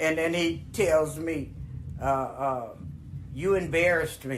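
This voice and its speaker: A woman with a very deep, low pitch speaks at a very slow pace with ordinary pitch variation. Audible room echo surrounds her voice. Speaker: grandmother storyteller. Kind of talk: storytelling. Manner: animated.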